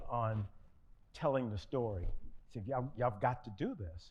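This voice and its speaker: A man with an American accent speaks at a moderate pace in a dark, mellow tone, his medium pitch showing ordinary variation against audible room echo. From US South. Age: 70s. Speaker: retired finance executive and author. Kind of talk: onstage interview. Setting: fireside chat at book signing. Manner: halting, repeats words.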